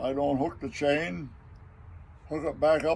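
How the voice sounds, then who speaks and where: A man with an American accent speaks at a fairly high pitch. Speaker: retired farmer. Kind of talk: interview answer.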